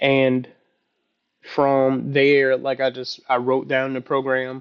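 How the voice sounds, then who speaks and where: A man talks at a very slow pace. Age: 30s. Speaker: vlogger learning to code. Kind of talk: casual personal vlog. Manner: halting, many fillers.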